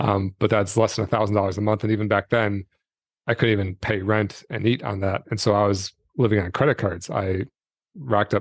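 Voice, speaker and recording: Against a quiet background, a man with an American accent talks in a normal speaking voice, fairly low in pitch, at a fairly quick pace. His intonation is fairly even, and the sound is dry and close with no echo. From Michigan, US Midwest. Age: 40s. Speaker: retired entrepreneur, personal finance creator. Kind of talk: podcast interview. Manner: casual, many fillers and restarts.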